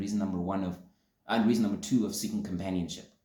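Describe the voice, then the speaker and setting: Room echo is audible as a man speaks with lively intonation. His tone is dark and mellow. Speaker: podcast host. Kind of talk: solo vlog talk to camera. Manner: fast.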